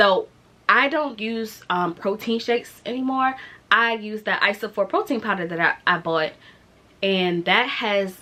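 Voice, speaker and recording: Speaking with an American accent, a woman keeps a fairly slow pace at a fairly high pitch. Noticeable background noise can be heard. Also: ordinary pitch variation. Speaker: vlogger sharing weight loss surgery journey. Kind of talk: casual vlog monologue.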